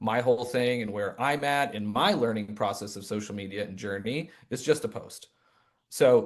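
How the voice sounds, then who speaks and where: A man talks in an American accent at a medium pitch. He has a normal speaking voice and a moderate pace. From Michigan. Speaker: real estate agent, former teacher. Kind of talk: video call panel discussion.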